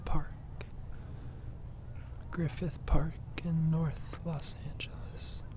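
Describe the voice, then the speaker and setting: The speaker is soft-spoken and goes at a very slow pace. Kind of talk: ASMR nature meditation.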